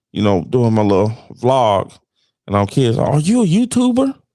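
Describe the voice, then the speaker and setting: Here is an ordinary speaking voice from a man. His tempo is medium, with normal pitch movement. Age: 30s. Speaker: sports podcast co-host and vlogger. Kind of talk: casual chat.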